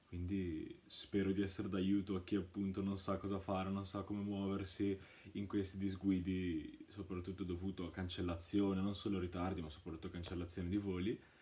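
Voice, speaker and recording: A man's very deep, low voice, somewhat breathy and dark and mellow in tone, monotone and flat at a moderate pace. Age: 20s. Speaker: customer giving a testimonial. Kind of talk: testimonial. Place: home room. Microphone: phone near.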